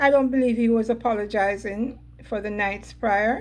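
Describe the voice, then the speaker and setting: A woman's somewhat breathy, fairly high voice at a moderate pace, with fairly even intonation. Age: 70s. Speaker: entertainment vlogger. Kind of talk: casual commentary vlog. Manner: conversational, filler-heavy.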